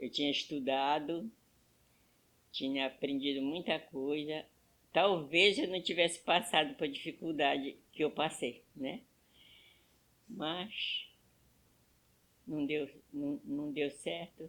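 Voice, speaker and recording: Speaking at a very slow pace with long, frequent pauses, a woman talks in a very deep, low pitch. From Brazil, Pará (Amazon riverside, Moju). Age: 80s+. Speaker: elderly woman telling her life story. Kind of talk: personal testimony. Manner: halting.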